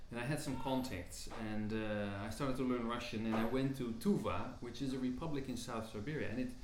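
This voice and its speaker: A man talking at a fairly quick pace, with audible room echo and light background noise. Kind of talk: interview answer. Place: home room.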